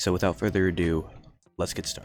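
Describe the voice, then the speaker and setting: A man speaks quietly with a very deep, low pitch. Vocal fry runs through his voice. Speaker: sports podcast host. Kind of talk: solo sports commentary podcast. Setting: outdoors in a pavilion. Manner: quiet, subdued.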